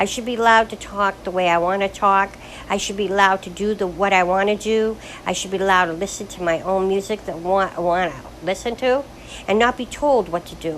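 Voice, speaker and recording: Ordinary pitch variation and a medium pitch mark this woman's fairly quick delivery, heard over noticeable background noise. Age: 60s. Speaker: widow recording personal video diary. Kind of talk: personal monologue. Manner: rambling, halting with repetitions.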